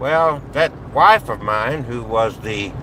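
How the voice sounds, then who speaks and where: Against noticeable background noise, a man talks at a medium pitch with lively intonation. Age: 60s. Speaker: vlogger. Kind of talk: personal monologue vlog. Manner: halting, with fillers.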